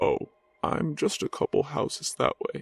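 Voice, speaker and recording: A man puts on a character voice at an extremely high pitch. He talks at a moderate pace. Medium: read story. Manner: dazed, distant, unhurried.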